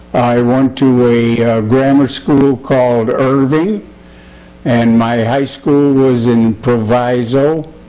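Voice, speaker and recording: Very slow delivery over noticeable background noise, with fairly even intonation and very even loudness. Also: man, medium pitch for a man. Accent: Chicago. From US Midwest, Chicago area. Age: 80s+. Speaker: war veteran. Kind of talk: oral history interview. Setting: at his home. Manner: halting, many fillers.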